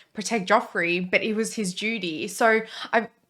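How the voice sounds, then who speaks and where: Delivered at a moderate pace with an Australian accent, this voice shows ordinary pitch variation. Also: woman. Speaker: reaction video co-host. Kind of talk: casual chat.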